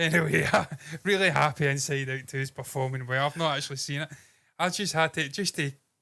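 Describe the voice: A man with a bright, sharp tone and fairly high pitch talks at a fairly quick pace. His intonation is fairly even. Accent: Scottish.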